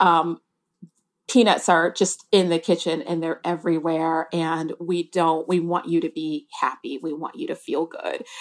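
This is an ordinary speaking voice delivered at a moderate pace. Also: woman. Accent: American. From US Midwest, Detroit, Michigan. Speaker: newspaper food editor. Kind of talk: interview.

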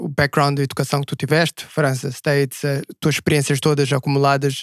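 A man with a Portuguese accent speaks at a fairly quick pace in a fairly high voice. His intonation is monotone and flat, with a dry, close sound and no echo. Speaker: podcast co-host. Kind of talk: casual interview chat. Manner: code-switching Portuguese and English.

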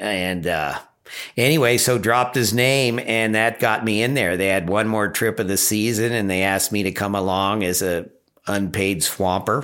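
Speaking at a moderate pace in a normal speaking voice, a man keeps a fairly low pitch, ordinary pitch variation and very even loudness. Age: 60s. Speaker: river guide and boat outfitter. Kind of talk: casual interview.

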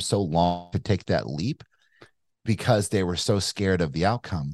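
Heard with a dry, close sound with no echo and a quiet background, a man with a very deep, low pitch talks at a moderate pace with ordinary pitch variation. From Kentucky. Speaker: entrepreneur and investor. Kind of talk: casual interview conversation. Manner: casual, animated, swears.

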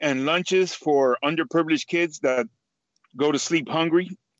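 With an American accent, a man uses an ordinary speaking voice at a fairly high pitch with ordinary pitch variation. The sound is dry and close with no echo, and the background is quiet. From Miami, Florida. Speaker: charity club chapter captain and business owner. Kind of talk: casual interview. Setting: out and about, remote call.

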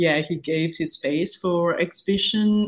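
Here a woman talks at a fairly slow pace. Her voice is somewhat breathy. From Kenya, Nairobi. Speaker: fashion consultant and former model. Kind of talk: interview conversation.

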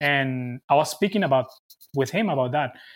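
A man with a Venezuelan accent, lively intonation and a moderate pace, on a very clean recording with a silent background. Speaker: sports reporter and TV producer. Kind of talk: casual interview. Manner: halting.

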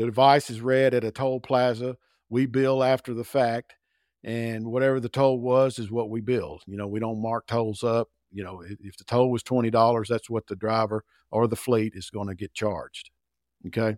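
Using a normal speaking voice, a man talks at a moderate pace with medium pitch, fairly even intonation and big swings in loudness, in a very clean, dry, close recording with no echo and a silent background. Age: 60s. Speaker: sales director. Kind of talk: interview.

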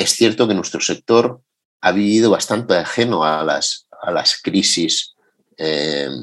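A man speaks very slowly at a fairly low pitch, his intonation lively. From Madrid, Spain. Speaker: entrepreneur. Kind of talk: interview testimony.

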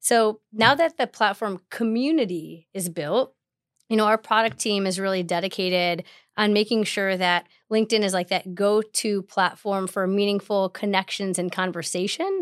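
A woman with an American accent and a normal speaking voice talks at medium pitch with ordinary pitch variation, recorded dry and close with no echo, very clean, with a silent background. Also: moderate pace. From Chicago. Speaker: tech company partnerships manager. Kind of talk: podcast interview.

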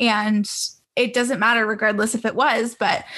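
In a Canadian accent, a woman with a fairly high pitch uses a normal speaking voice at a moderate pace. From Canada, Greater Toronto Area. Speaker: podcast host. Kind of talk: interview.

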